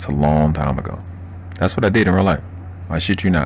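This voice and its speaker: A man speaks with a slight Baltimore accent. Noticeable background noise is present. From Baltimore, Maryland, US. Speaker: live-stream host. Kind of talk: live stream chat. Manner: fast; animated.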